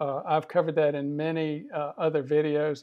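A man talking at a moderate pace against a quiet background. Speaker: physician educator. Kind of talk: lecture.

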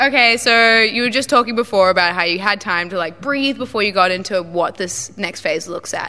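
In an Australian accent, the speaker moves at a fairly quick pace with hardly any pauses and ordinary pitch variation. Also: woman. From Australia, Brisbane. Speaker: music interviewer; interviewer. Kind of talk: casual interview; interview question. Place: hall. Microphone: handheld.

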